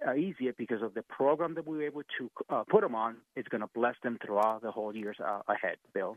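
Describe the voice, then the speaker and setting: Delivered at a fairly quick pace, this is a normal speaking voice with ordinary pitch variation. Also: man, medium pitch for a man. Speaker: licensed Medicare insurance agent. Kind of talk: sponsored segment pitching Medicare enrollment help. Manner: eager, polite.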